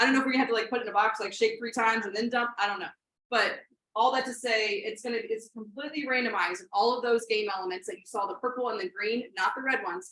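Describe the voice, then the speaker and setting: A woman at a very fast pace, fairly high-pitched with a bright, sharp tone, ordinary pitch variation and big swings in loudness. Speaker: robotics coach trainer. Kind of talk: training workshop presentation. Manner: halting, many fillers.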